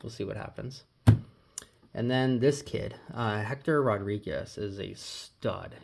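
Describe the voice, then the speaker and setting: A man is speaking. His pace is moderate. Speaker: sports card collector. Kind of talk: casual vlog showing purchases. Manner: hesitant, many fillers.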